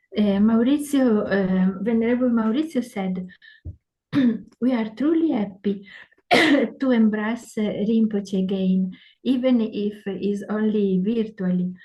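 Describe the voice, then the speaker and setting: A woman with an Italian accent speaks at a very slow pace, her voice somewhat breathy. Her pitch is fairly high, with ordinary variation. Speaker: interpreter. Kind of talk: consecutive interpreting. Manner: halting, many fillers.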